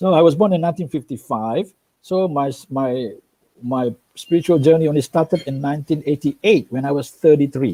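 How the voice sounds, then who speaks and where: A man talks at a fairly quick pace in a fairly high pitch with a dark, mellow tone and ordinary pitch variation. The sound is dry and close, with no echo. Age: 60s. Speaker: medical doctor and spiritual speaker. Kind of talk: interview. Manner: halting, many repetitions.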